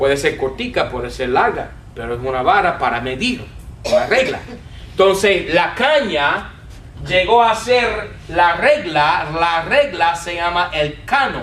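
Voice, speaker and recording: A man's high-pitched voice with very wide pitch swings, a fairly slow pace and an English accent, amid audible room echo and noticeable background noise. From United States. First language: English (speaking Spanish). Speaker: Bible teacher. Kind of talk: lecture.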